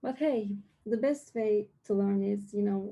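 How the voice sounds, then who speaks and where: Speaking fairly slowly with a non-native accent, a woman uses a medium-pitched voice with a dark, mellow tone. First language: not English. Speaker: lightning talk speaker. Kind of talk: presentation. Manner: hesitant.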